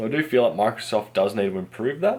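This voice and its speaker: With an Australian accent, a man delivers his words at a very fast pace. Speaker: tech repair youtuber. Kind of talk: tutorial. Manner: casual.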